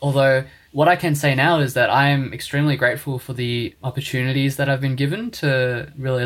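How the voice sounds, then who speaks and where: A man with an Australian accent at a moderate pace, with fairly even intonation. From Australia, Melbourne (Springvale). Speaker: university student and lion dance organiser. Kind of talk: casual chat.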